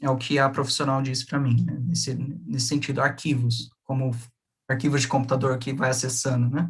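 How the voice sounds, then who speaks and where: At a moderate pace, a man speaks in a medium-pitched, somewhat breathy voice with fairly even intonation and long, frequent pauses. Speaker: graduate researcher. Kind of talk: academic seminar presentation.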